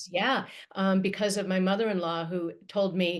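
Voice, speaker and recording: A woman speaks with a medium pitch, keeping a moderate pace. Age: 60s. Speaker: matchmaker and podcast host. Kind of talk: casual interview chat. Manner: animated.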